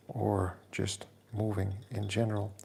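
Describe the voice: With vocal fry running through it, a man's fairly low voice carries a dark, mellow tone.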